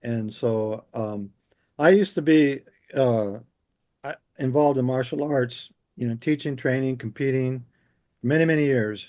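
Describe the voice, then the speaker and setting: A man with a dark, mellow tone and medium pitch speaks at a moderate pace, using ordinary pitch variation and long, frequent pauses. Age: 60s. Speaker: near-death experiencer, interview guest. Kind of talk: casual chat.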